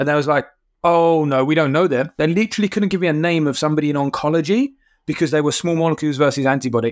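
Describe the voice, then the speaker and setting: A man with a fairly high pitch, a very fast pace, ordinary pitch variation, and very even loudness. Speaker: podcast co-host. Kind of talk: casual interview.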